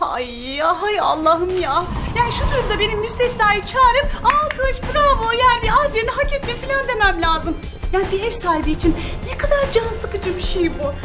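There is clear music in the background. A woman speaks at a moderate pace in a raised, projected voice. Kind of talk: comedic acted monologue. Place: home room.

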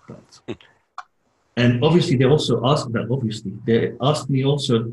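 Somewhat breathy, a man talks at a moderate pace with ordinary pitch variation, audible room echo, and light background noise. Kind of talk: casual group video call. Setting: video call. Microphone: video call.

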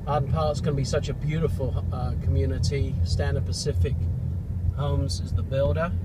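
A man talking at a fairly quick pace, dry sound with no echo, loud background noise throughout. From England. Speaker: real estate agent. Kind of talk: casual property tour talk while driving. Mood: upbeat promotional. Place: car. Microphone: phone near.

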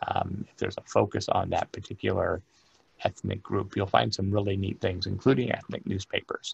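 With an American accent, a man talks at a fairly quick pace, his loudness swinging a lot. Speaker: librarian and archivist giving a genealogy lecture; archivist giving a genealogy lecture. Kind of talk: lecture. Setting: remote presentation from his work office. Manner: long-winded. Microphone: webcam.

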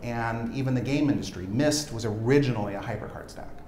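A man with ordinary pitch variation, audible room echo, and light background noise. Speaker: software entrepreneur. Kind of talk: product demo interview. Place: studio. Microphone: lapel.

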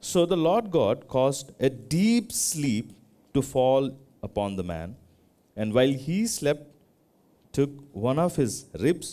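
A man speaking at a very slow pace. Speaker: preacher. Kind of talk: scripture reading in a sermon. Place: church.

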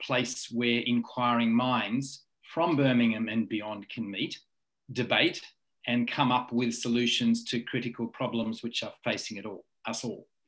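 At a fairly slow pace, a man talks over a quiet background. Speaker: university leader. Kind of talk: formal introduction. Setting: video call. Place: home room. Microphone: webcam.

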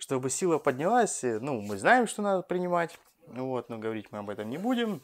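Very wide pitch swings run through a man's fairly high-pitched voice. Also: moderate pace. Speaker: fitness coach and bodybuilder. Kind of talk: Q&A video blog. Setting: at home. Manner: casual.

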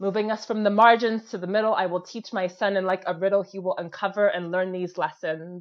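At a fairly quick pace, a woman of medium pitch talks with fairly even intonation and hardly any pauses. The background is quiet. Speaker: spoken word poet. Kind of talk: spoken word performance. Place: home room. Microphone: earbuds.

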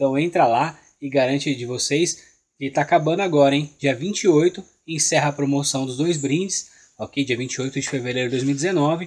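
A man with a Brazilian accent speaks at a moderate pace and fairly high pitch, with ordinary pitch variation, over a quiet background. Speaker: orchid shop seller. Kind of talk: sales pitch, street-seller style promo patter. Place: garden. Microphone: phone near.

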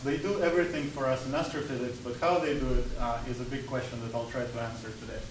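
A man at a moderate pace, with audible room echo and noticeable background noise. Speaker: visiting lecturer. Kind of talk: lecture. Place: classroom. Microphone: camera far.

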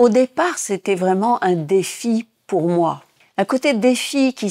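Very slowly, a woman speaks in a dark, mellow tone with ordinary pitch variation, in a dry, close sound with no echo. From Tunisia. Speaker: former physicist and theatre director. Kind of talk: interview testimony.

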